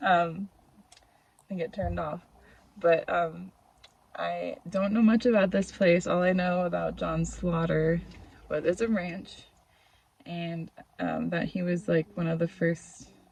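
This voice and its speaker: Soft-spoken, a woman talks with long, frequent pauses. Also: fairly slow pace, big swings in loudness. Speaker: vlogger and photographer. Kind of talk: casual vlog narration. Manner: hesitant, many fillers. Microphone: phone mic, audio glitchy.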